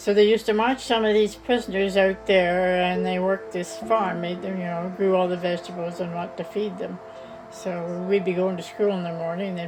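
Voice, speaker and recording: Music plays in the background as a woman with a fairly low voice speaks at a moderate pace in fairly even intonation. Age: 80s+. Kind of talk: storytelling, interview answer.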